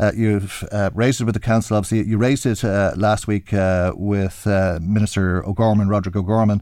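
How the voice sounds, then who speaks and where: A man speaks at a fairly quick pace in a dark, mellow tone. His delivery is monotone and flat, with very even loudness. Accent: Irish. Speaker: radio host. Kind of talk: radio current affairs interview. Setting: studio.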